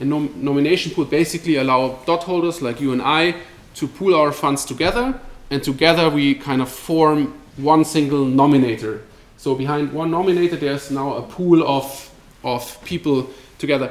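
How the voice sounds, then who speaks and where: Noticeable background noise sits under a man's fairly high voice, which varies in pitch in an ordinary way. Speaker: crypto company presenter. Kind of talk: presentation at a meetup. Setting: meetup with live audience. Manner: fast.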